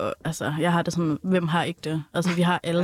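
A plain, everyday voice speaks at a moderate pace, with a dry, close sound with no echo, in a very clean recording with a silent background. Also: woman. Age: 20s. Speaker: educator, communications consultant. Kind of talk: casual chat.

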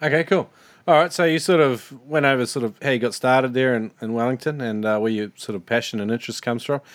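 Speaking very fast with an Australian accent, a man uses a medium pitch and ordinary pitch variation on a very clean recording with a silent background. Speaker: podcast host. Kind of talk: casual interview.

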